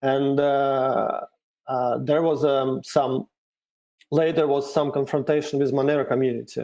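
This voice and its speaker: A man is speaking. He has a Russian accent. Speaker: cryptocurrency developer. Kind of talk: interview. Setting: video call. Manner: halting.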